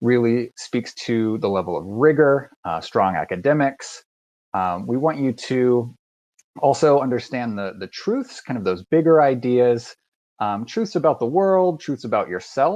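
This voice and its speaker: A man with a slight Southern US accent speaks at a fairly slow pace, his pitch swinging very widely, over a quiet background. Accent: slight Southern twang. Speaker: university admissions recruiter. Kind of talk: live online presentation. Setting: video call with screen sharing. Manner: many filler words (uh, um).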